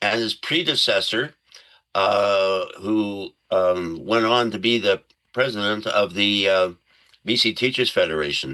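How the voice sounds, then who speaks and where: A man speaks with a fairly low pitch and a bright, sharp tone. His pitch varies in an ordinary way. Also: fairly slow pace. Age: 70s. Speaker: former school trustee. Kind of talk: interview.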